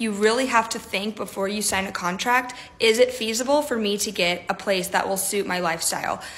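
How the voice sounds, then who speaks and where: Upbeat in tone, a woman speaks with an American accent at a moderate pace. Her pitch variation is ordinary. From Texas. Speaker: travel nurse. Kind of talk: tips video. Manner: upbeat, chatty. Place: home room. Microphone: phone near.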